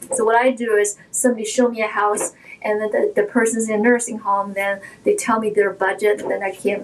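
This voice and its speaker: A woman's fairly high, monotone voice at a fairly quick pace, flat in intonation, over noticeable background noise. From China, Shanghai. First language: Shanghainese / Mandarin Chinese. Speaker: realtor. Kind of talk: interview.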